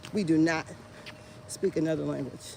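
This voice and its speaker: This woman talks at a fairly slow pace in an American accent, her tone animated and her pitch varying in an ordinary way. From Indiana, US Midwest. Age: 50s. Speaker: vlogger. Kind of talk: casual chat. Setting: outdoors.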